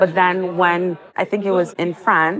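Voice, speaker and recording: This is a plain, everyday voice with an American accent. The pace is moderate. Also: woman. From United States. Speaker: nonprofit co-founder and CEO. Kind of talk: interview.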